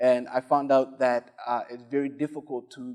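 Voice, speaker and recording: The speech comes in a flat monotone with a Somali accent. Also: man. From Somalia. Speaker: spoken word poet and arts entrepreneur. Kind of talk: panel discussion on stage. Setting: stage with audience.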